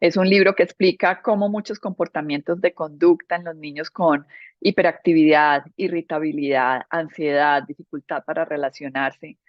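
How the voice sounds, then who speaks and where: Speaking at a moderate pace with hardly any pauses, a woman with a Medellín accent has a fairly low pitch and ordinary pitch variation. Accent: Medellín (paisa) Colombian. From Colombia, Medellín. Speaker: interior architect, speaker. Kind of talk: presentation talk.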